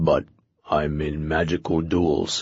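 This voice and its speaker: A man puts on a character voice with a very deep, low pitch. It growls and rumbles throughout. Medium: read story. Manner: terse, grunting.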